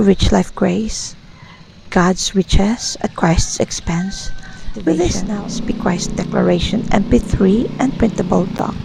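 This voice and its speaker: A woman talks at a fairly slow pace and a medium pitch. Noticeable background noise runs underneath. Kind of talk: devotional declaration and prayer. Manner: whispered, soft-spoken.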